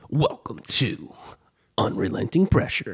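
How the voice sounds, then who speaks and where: A man performs a put-on character voice in a dramatic tone. His pitch is fairly high and his pace fairly slow. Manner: dramatic, epic.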